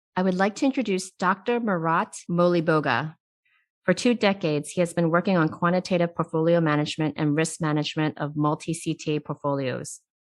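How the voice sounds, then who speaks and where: The speaker talks at a fairly quick pace. Pitch variation is ordinary, in an ordinary speaking voice. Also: woman. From immigrant to US, came as child. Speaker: CEO and interview host. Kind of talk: interview.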